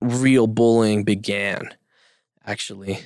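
A man speaks in a Spanish accent at medium pitch, keeping his intonation fairly even. The recording is very clean, with a silent background. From Mexico, Yucatan (Progreso), moved to US at 5-6. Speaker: podcast guest. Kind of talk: casual interview. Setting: studio.

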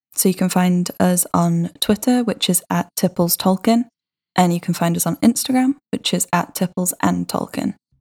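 A woman with a British accent sounds somewhat breathy, with ordinary pitch variation. The sound is dry and close, with no echo. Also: medium pitch for a woman, moderate pace. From Britain. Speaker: podcast co-host. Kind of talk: casual chat.

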